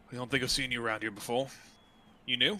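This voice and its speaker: Someone does a put-on character voice at a very fast pace. The pitch varies in an ordinary way. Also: man, medium pitch for a man. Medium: actual play. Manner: swaggering, taunting.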